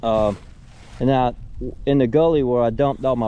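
A man speaks at a moderate pace and medium pitch, with fairly even intonation and a dark, mellow tone.

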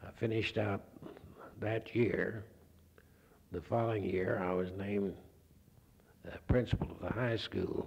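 A man with an Oklahoma accent speaks in a somewhat breathy, monotone, flat way at a fairly slow pace. His loudness swings widely, and he takes long, frequent pauses. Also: fairly low pitch for a man. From Oklahoma, near Enid. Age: 70s. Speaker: retired physics professor. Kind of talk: oral history interview. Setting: recorded interview with handheld mic. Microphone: old recording.

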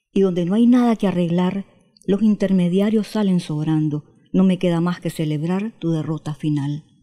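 A woman's dark, mellow voice, fairly low in pitch, at a moderate pace against a quiet background. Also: ordinary pitch variation. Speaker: poet. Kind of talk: interview with poem reading. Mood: expressive, emphatic recitation. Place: home room. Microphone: handheld.

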